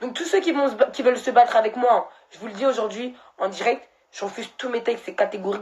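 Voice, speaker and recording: Very rapid talk from a woman, with typical pitch movement. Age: 20s. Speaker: social media personality. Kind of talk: live stream monologue. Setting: live stream. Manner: emotional, halting.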